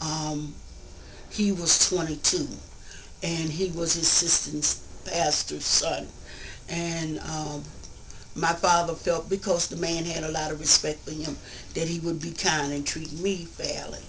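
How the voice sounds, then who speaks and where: At a fairly slow pace with long, frequent pauses, a woman speaks in a fairly low, monotone, flat voice amid audible room echo and noticeable background noise. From Richmond, Virginia (US South), moved to Baltimore at 12. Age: 70s. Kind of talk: interview, personal life story.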